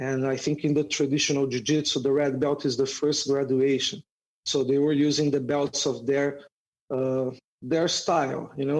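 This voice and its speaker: A man with a Brazilian accent talks at a moderate pace and a fairly high pitch. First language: Portuguese. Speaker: jiu-jitsu instructor. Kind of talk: podcast interview.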